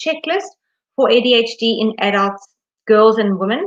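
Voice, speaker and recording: Her pitch fairly high, a woman talks with ordinary rises and falls. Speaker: education consultant. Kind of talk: live webinar Q and A. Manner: fast; mumbling.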